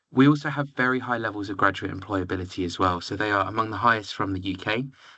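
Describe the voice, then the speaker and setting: Speaking at a very fast pace, a man keeps a fairly low pitch with ordinary pitch variation. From southern England, near London. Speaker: university recruitment representative. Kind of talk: presentation.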